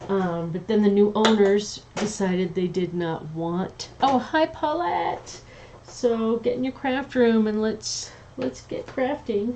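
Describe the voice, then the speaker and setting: Amid noticeable background noise, a woman speaks very slowly at a medium pitch with lively intonation. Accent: Southern US. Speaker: craft demonstrator livestreamer. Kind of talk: casual livestream chat while crafting. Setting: home livestream. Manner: chatty, hesitant with many ums.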